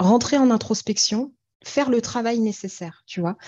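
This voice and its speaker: The woman has a fairly high pitch, a dark, mellow tone and a somewhat breathy voice. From France. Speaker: singing therapist and singer. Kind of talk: interview.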